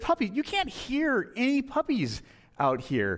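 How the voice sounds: A man uses a put-on character voice at an extremely high pitch. His pitch swings very widely. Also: fairly slow pace.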